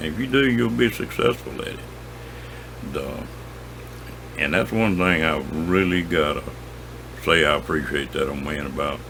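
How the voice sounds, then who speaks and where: A man speaks in a very deep, low voice with a rural Southern US accent, his pitch swinging very widely in a relaxed tone. He talks at a moderate pace with long, frequent pauses over noticeable background noise. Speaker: outdoorsman, angler and hunter. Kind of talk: casual storytelling to camera. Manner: folksy, relaxed.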